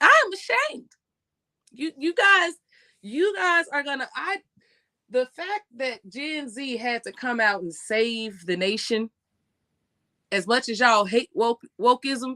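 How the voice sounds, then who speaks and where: A woman with an American accent speaks in a raised, projected voice, high-pitched, bright and sharp, with an animated tone and very wide pitch swings. Her pace is fairly slow with long, frequent pauses, and the sound is dry and close with no echo. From USA. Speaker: live streamer, commentator. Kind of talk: live stream commentary. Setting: live stream.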